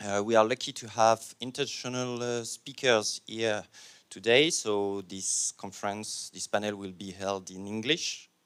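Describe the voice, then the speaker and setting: A man speaks in a French accent, fairly slowly, with a fairly low pitch and fairly even intonation. His loudness swings widely on a very clean recording with a silent background. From France. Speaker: panel moderator. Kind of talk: conference panel introduction. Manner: hesitant, many fillers.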